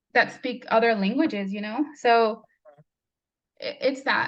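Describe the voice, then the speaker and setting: A woman speaks at a moderate pace and a fairly high pitch. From New Mexico, US (born in Mexico). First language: Spanish. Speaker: nonprofit CEO, immigrant advocate. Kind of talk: interview.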